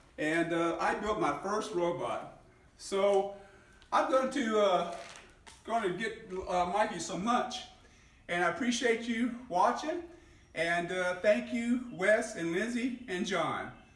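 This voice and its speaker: Speaking at a very slow pace with long, frequent pauses, a man with a high pitch and ordinary pitch variation is heard over audible room echo. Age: 60s. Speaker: hobbyist YouTuber. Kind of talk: casual video demonstration. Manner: halting.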